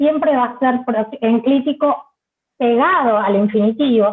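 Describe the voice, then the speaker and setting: A woman with a Rioplatense accent speaks at a fairly slow pace, her high pitch showing ordinary variation. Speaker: Spanish teacher trainer. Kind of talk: lecture.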